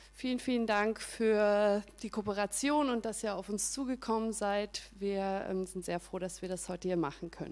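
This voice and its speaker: A woman with an ordinary speaking voice talks at a moderate pace with hardly any pauses, medium pitch and ordinary pitch variation. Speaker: event host. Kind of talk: event welcome speech.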